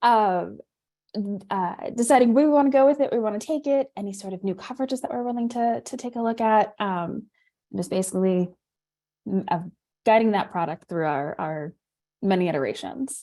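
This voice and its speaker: With an American accent, a woman speaks at a fairly quick pace in a fairly high pitch and a dark, mellow tone, her intonation lively and her pauses long and frequent. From New York. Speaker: insurance product manager. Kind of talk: webinar presentation. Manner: fast.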